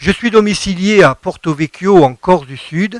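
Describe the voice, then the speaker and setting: A high-pitched man at a fairly slow pace, with ordinary pitch variation and a dry, close sound with no echo. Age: 60s. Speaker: gospel singer-songwriter. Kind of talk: radio interview.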